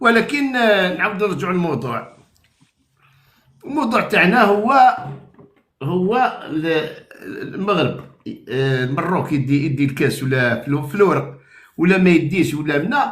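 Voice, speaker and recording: A high-pitched male voice moves at a fairly slow pace with very wide pitch swings. Long, frequent pauses and audible room echo fill the clip. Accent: Algerian. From Algeria. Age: 60s. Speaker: caller. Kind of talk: casual chat.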